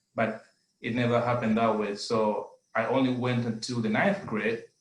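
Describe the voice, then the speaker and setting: A man with a Zambian accent. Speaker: adult education student. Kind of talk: testimony. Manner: halting.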